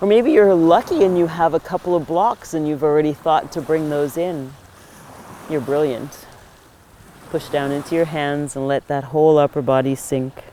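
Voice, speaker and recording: A woman speaks at a moderate pace with a very deep, low pitch and ordinary pitch variation. Noticeable background noise sits behind her. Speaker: yoga teacher. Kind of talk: guided yoga class instruction. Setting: outdoors by the ocean.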